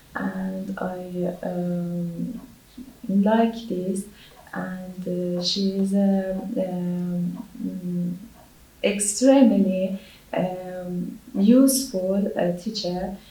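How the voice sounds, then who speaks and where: A woman speaks very slowly in a medium pitch, leaving long, frequent pauses. Her intonation is fairly even, and audible room echo fills the sound. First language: not English. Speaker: English language exam candidate. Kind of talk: spoken language exam. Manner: halting, many hesitations.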